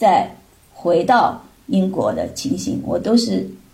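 With a Shanghainese accent, a woman speaks in a dark, mellow tone with vocal fry, and audible room echo surrounds her voice. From Shanghai, China. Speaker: mother of a student abroad. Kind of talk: casual chat.

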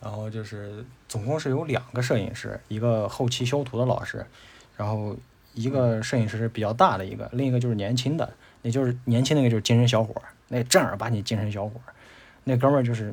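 A man of medium pitch, an unremarkable speaking voice, with fairly even intonation. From Tianshui, Gansu, northwest China. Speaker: graphic designer, podcast guest. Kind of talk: casual interview chat.

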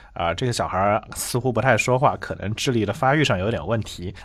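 A man with a normal speaking voice at medium pitch, fairly quick pace and ordinary pitch variation, on a very clean recording with a silent background. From China, Changzhou (Jiangsu). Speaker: linguistics researcher and author. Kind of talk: interview.

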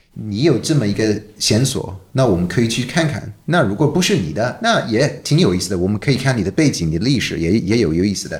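Hardly pausing, a man rushes along at a very fast pace with a fairly low pitch and very wide pitch swings. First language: English (speaking Chinese). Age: 40s. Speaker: documentary director. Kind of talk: casual interview. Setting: office.

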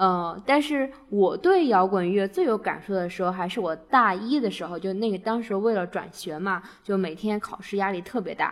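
Hardly pausing, a woman speaks at a medium pitch and moderate pace with ordinary pitch variation. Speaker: podcast host. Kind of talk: casual chat.

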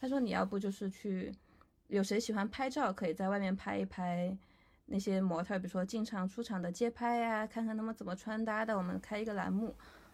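A woman speaks at a fairly quick pace in a medium pitch, somewhat breathy, with fairly even intonation, on a very clean recording with a silent background. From Chengdu, Sichuan, China. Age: 20s. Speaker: fashion photographer. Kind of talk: casual interview.

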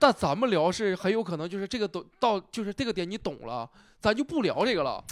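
A man with a northeastern Chinese accent speaks at a fairly quick pace in a high voice with very wide pitch swings, recorded very cleanly against a silent background with a dry, close sound and no echo. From Northeast China, Nenjiang, Heilongjiang. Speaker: stand-up comedian. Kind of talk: casual chat. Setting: venue in Wuhan.

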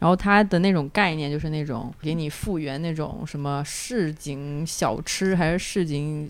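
A woman's very deep, low voice at a fairly slow pace, with ordinary pitch variation. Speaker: podcast host. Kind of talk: casual chat.

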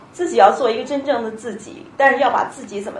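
The speech moves at a fairly quick pace with very wide pitch swings, over noticeable background noise and audible room echo. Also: woman. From Beijing, China. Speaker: tech company education manager. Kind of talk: panel discussion.

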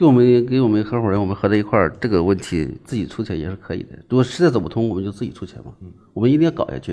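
Speaking at a very fast pace, a man with a fairly low pitch and a dark, mellow tone uses lively intonation and big swings in loudness. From Shandong, Liaocheng. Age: 40s. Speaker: entrepreneur. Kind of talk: business pitch interview.

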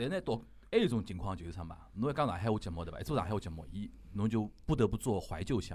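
Using a Shanghai accent, a man with fairly low pitch talks at a very fast pace with lively intonation. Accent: Shanghainese (Wu) speaker. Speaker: podcast host. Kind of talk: casual chat.

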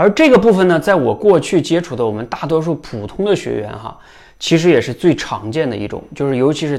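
Fairly high in pitch, a man talks at a fairly quick pace with very wide pitch swings. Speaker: public speaking coach. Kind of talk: unscripted talk to camera. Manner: conversational, with frequent filler particles.

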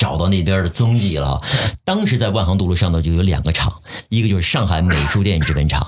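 Over noticeable background noise, a man speaks very fast in a very deep, low pitch with very even loudness. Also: ordinary pitch variation. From Shanghai. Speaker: voice actor and TV sports presenter. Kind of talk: casual chat.

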